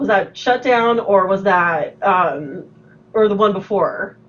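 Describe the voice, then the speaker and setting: Noticeable background noise accompanies a woman's animated tone at a fairly high pitch. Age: 40s. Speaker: podcast host. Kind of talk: casual chat.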